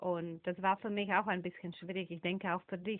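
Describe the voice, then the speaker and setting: A woman speaks with a non-native accent. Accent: foreign accent in German. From Slovakia. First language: Slovak (speaking German). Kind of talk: interview.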